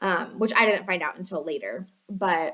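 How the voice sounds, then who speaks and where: A woman with a Chicago accent, at a fairly slow pace. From Chicago area, US Midwest. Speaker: lifestyle vlogger. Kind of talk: casual storytelling. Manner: filler-heavy, chatty (um, like, you know).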